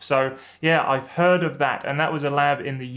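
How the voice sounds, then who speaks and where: A man with a British accent speaks over a quiet background. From UK. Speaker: YouTuber and former academic chemist; academic advice youtuber. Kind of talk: vlog advice talk to camera. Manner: casual, with frequent fillers. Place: office.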